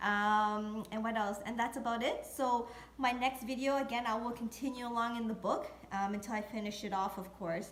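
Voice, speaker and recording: The speech runs at a moderate pace with hardly any pauses and fairly even intonation. Room echo is audible, as is noticeable background noise. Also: woman, fairly high pitch for a woman. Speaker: real estate video blogger. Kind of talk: tutorial. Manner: hesitant, many fillers.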